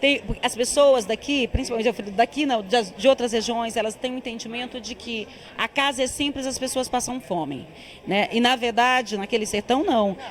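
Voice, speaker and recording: A woman with a high voice and ordinary pitch variation talks at a moderate pace, noticeable background noise behind her. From Tocantins backcountry, Brazil. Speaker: film director. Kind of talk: interview.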